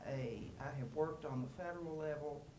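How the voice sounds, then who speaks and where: A woman with a very deep, low pitch speaks at a fairly slow pace. Room echo is audible. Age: 70s. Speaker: audience member asking a question. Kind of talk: audience question at panel. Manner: halting.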